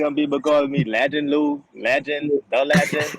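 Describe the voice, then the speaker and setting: A man with a Bahamian accent speaks at a moderate pace. His pitch is fairly high. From Bahamas. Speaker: professional baseball player. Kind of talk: casual interview.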